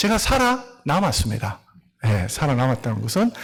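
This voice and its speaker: A man speaks at a fairly quick pace, somewhat breathy. His pitch swings very widely. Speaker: missionary pastor. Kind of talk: sermon. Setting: church.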